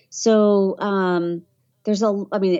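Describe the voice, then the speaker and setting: At a fairly slow pace, a woman talks with a slight Southern US accent. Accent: slight Southern hillbilly. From Tennessee. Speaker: voiceover artist and travel vlogger. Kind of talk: casual interview chat. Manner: hesitant, many fillers.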